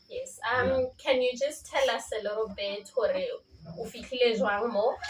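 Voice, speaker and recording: A woman's high-pitched voice at a moderate pace, with fairly even intonation, over noticeable background noise. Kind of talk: interviewer, casual talk to camera.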